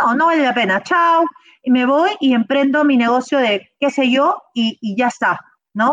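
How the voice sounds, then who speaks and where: High pitch and lively intonation in a woman's voice. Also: fairly slow pace, very even loudness. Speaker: motivational speaker and coach. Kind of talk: interview.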